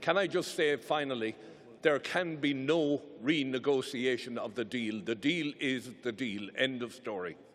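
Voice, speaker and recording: An Irish accent from a man at a medium pitch and fairly slow pace. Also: ordinary pitch variation. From Ireland. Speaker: parliamentarian. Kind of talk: parliamentary speech. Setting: conference plenary hall. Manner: emphatic.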